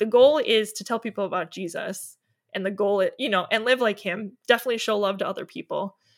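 Talking very fast, a woman with a fairly high voice uses ordinary pitch variation. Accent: Upper Midwest. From Wisconsin, Milwaukee area. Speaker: blogger and stay-at-home mom. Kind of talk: casual interview chat.

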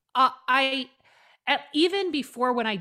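Speaking with an American accent, a woman has a bright, sharp tone. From US West Coast, Oregon. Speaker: author and priestess. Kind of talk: casual chat.

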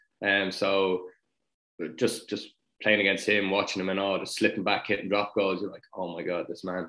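In a Dublin accent, a man with a fairly low pitch speaks at a moderate pace, his tone bright and sharp. His intonation is monotone and flat, while his loudness swings widely. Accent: Dublin Irish. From Dublin, north side (Sutton). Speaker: retired rugby player. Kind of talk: casual interview.

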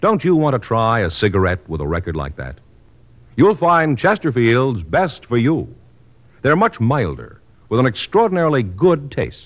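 A man speaks at a moderate pace with a medium pitch. His voice has vocal fry and very wide pitch swings. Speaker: radio announcer. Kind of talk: scripted announcement and commercial reading. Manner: formal, authoritative.

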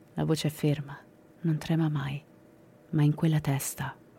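A woman's very deep, low voice in a solemn tone at a moderate pace, with music in the background. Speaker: true crime podcast narrator. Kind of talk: dramatic true-crime narration. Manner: grave, suspenseful, measured storytelling; solemn, matter-of-fact tone on violent details.

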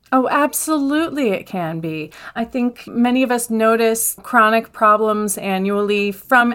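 An unremarkable speaking voice from a woman, fairly high in pitch, with ordinary pitch variation. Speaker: speech language pathologist and opera singer. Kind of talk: interview.

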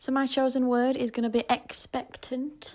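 A woman with a Yorkshire accent at a moderate pace. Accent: Yorkshire, posh-sounding. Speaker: football fan guest predictor. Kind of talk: voice note.

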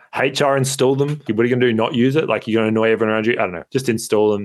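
Here is a man with an Australian accent. His fairly low voice has ordinary pitch variation. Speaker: podcast co-host. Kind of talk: casual chat. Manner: loud.

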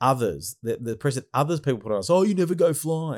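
A man at a very fast pace with an Australian accent and lively intonation, in a very clean recording with a silent background. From Australia, Melbourne. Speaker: podcast host. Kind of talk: casual chat.

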